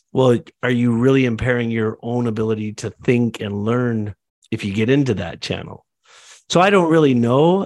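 Captured in a very clean recording with a silent background, an unremarkable speaking voice with a Canadian accent moves at a moderate pace with ordinary pitch variation. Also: man, medium pitch for a man. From Canada. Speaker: entrepreneur, agency and real estate developer. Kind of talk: casual panel discussion.

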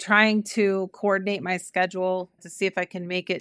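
A woman speaks with an Ohio accent. Her intonation is monotone and flat, and her pace is moderate. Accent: Midwestern American (Ohio). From Cleveland, Ohio. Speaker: recruiting company founder and CEO. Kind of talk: interview.

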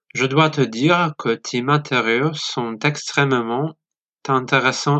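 At a very slow pace, a man with a Polish accent talks at a medium pitch with fairly even intonation. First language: Polish (speaking French). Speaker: listener, French learner. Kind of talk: recorded voice message.

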